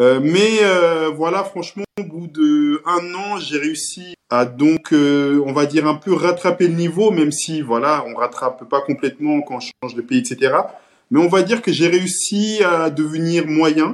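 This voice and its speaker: Talking at a fairly slow pace, a man uses a fairly high pitch with ordinary pitch variation. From Cape Verde (Santiago island), moved to France at 10. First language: Cape Verdean Creole (speaking French). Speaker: social media page creator. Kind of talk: casual interview. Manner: hesitant, many fillers and repetitions.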